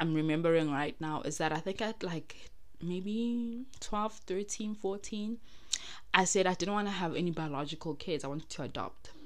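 A woman with a fairly low pitch speaks at a moderate pace in an animated tone, with ordinary pitch variation. Audible room echo surrounds her voice. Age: 20s. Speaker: podcast host. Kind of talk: solo personal monologue.

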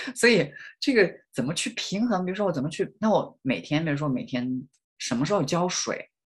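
At a fairly quick pace, a man speaks in a high pitch with very wide pitch swings. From rural Hunan, China. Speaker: PhD student and Chinese language instructor. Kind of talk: interview. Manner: halting, many fillers.

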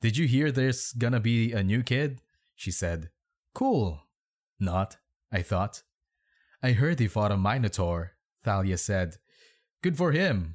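A man's fairly low voice at a fairly slow pace, animated in tone with lively intonation, in a very clean recording with a silent background. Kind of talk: reading aloud bad fan fiction with commentary. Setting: home bedroom recording with reverb. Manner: animated, laughs often, sarcastic.

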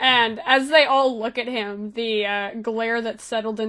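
What we hear is an unforced reading voice.

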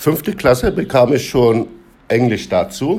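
A man speaks with a fairly high pitch at a fairly slow pace. His pitch swings very widely. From Turkey. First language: Turkish (speaking German). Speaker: interviewee. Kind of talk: casual interview.

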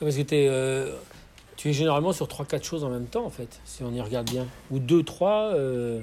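A man at a medium pitch with ordinary pitch variation and a fairly quick pace, amid noticeable background noise. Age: 40s. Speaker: podcast host interviewing an artist. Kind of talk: casual interview. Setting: at the guest's home, with birds.

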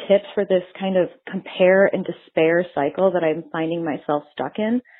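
With an ordinary speaking voice, a woman talks at a moderate pace and medium pitch, hardly pausing at all. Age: 30s. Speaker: podcast listener leaving a question. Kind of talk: recorded voicemail question.

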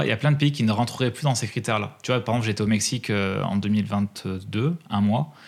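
A man with an unremarkable speaking voice talks at a moderate pace, his pitch varying in an ordinary way, in a very clean recording with a silent background. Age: 30s. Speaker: freelance music press agent and traveller. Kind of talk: casual interview.

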